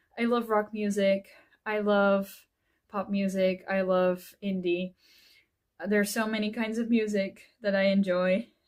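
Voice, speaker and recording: Speaking with a Dutch accent, a woman uses a medium pitch. Her pace is fairly slow and her intonation monotone and flat. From Netherlands. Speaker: author and YouTuber. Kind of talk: casual vlog. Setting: at home in front of bookshelf.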